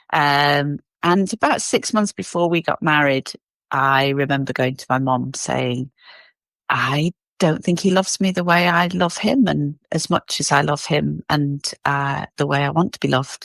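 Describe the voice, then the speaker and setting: At a fairly slow pace, a woman with a very deep, low voice speaks with ordinary pitch variation in a dry, close sound with no echo. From England, Cheshire. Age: 50s. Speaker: podcast guest. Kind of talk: casual interview.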